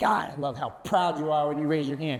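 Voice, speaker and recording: A man speaks loudly. His pace is fairly quick. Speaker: conference speaker. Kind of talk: keynote presentation. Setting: stage with audience. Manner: animated.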